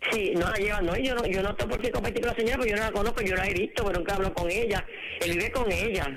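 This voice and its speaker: Noticeable background noise and audible room echo accompany a woman talking at a very fast pace, her medium pitch showing ordinary variation and her loudness very even. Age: 70s. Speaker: caller. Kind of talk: call-in radio testimony.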